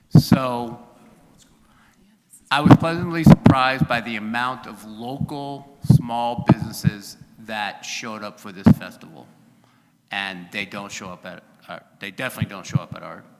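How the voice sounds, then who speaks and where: A man at a moderate pace, with long, frequent pauses and big swings in loudness, over noticeable background noise. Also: medium pitch for a man, ordinary pitch variation. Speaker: city council member. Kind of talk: public meeting discussion. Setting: council chamber meeting. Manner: halting.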